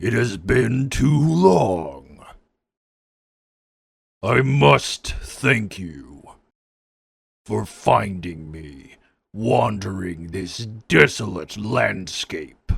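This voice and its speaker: Using a cartoonish character voice, a man speaks very slowly with a raspy, very deep, low pitch and long, frequent pauses. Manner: commanding, imperious.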